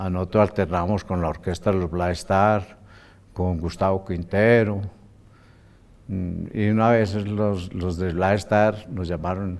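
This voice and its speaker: At a very slow pace, a man speaks at a very deep, low pitch with monotone, flat intonation and long, frequent pauses. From Colombia, Tolima and Manzanares, Caldas; Colombia. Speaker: band musician and director; interviewee. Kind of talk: interview; interview answer. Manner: halting. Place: studio.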